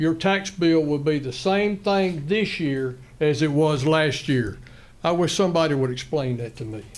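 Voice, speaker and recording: A man talks at a moderate pace with a fairly high pitch and ordinary pitch variation. Audible room echo surrounds his voice. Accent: North Carolina. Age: 70s. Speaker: retired school employee, public commenter. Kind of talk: public comment at a county meeting. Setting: county commissioners meeting room. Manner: halting.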